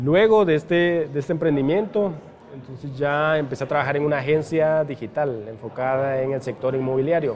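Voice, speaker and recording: A man with an unremarkable speaking voice talks at a fairly quick pace, his fairly high pitch showing ordinary pitch variation. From Guatemala, San Marcos (rural village). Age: 30s. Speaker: e-commerce entrepreneur. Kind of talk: interview. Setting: coffee shop.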